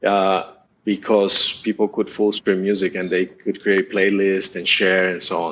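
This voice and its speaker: Monotone, flat intonation at a fairly slow pace. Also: man, fairly low pitch for a man. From Colombia, Bogota. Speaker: startup executive. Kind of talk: podcast interview. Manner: halting.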